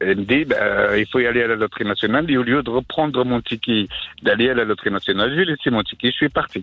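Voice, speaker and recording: A man rattles off his words at a very fast pace, his medium pitch showing ordinary pitch variation. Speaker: caller. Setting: phone call.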